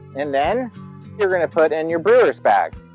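Faint music sits in the background as a man speaks in a dry recording with no echo. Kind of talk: tutorial. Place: street.

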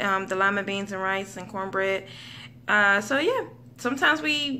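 A woman with a bright, sharp tone speaks at a fairly slow pace amid light background noise. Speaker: stay-at-home mother vlogger. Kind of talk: casual vlog chat. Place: home room. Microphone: phone near.

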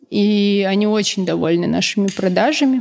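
A woman is speaking. Her pace is fairly quick. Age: 30s. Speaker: food business co-founder; guest. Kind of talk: interview. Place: studio. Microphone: studio mic.

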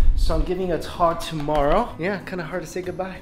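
Faint music sits in the background. Against it, a man speaks at a moderate pace. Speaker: travel vlogger. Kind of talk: casual vlog chat. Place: home room. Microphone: phone near.

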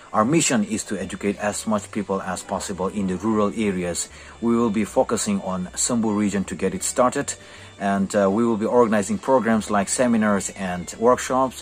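Against light background noise, a man with an unremarkable speaking voice talks at a fairly quick pace, his pitch fairly low and his intonation fairly even. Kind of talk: interview answer. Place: classroom. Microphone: phone near.

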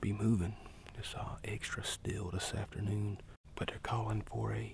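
Whispering at a fairly slow pace. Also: man. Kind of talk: casual vlog chat. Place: forest. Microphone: phone near.

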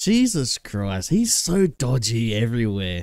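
On a very clean recording with a silent background, a man with an Australian accent speaks at a fairly slow pace. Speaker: reaction video creator. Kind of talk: casual reaction commentary. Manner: casual, chatty.

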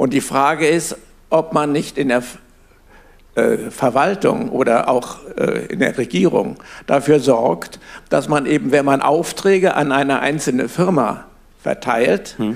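A man speaks very slowly in a fairly high voice, with long, frequent pauses. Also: lively intonation. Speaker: audience member. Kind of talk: audience question. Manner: halting. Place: classroom.

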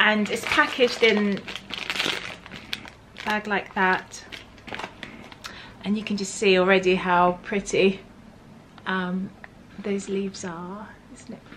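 Speaking in a Southern English accent, a woman goes at a very slow pace with long, frequent pauses. Her loudness swings widely, over light background noise. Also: medium pitch for a woman. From Berkshire, England; England. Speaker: lifestyle vlogger; tea lifestyle vlogger. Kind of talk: casual talk to camera. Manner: upbeat. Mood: warm, admiring. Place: home room.

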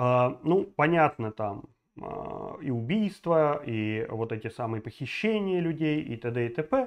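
A man's animated tone against a quiet background. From Belarus. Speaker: political video blogger. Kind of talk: political commentary monologue; political commentary vlog. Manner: animated, with many filler sounds. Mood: indignant, outraged. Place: home room. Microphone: lapel.

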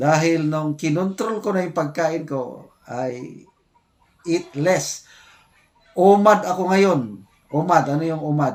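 Lively intonation marks this speech, delivered at a very slow pace. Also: man. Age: 60s. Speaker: retired military officer and vlogger. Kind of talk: casual vlog commentary.

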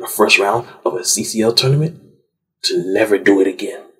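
A man talks at a moderate pace in an animated tone. Music plays in the background. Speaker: sports commentator. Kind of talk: angry sports rant, scolding teams as if they were present, monologue. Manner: indignant, accusatory, animated, forceful; emphatic, repeating lines with stinging sarcasm.

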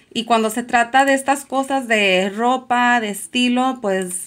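Ordinary pitch variation from a woman, her delivery at a very slow pace. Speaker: fashion resale youtuber; online reseller. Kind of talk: tutorial. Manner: chatty, filler-heavy. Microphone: phone near.

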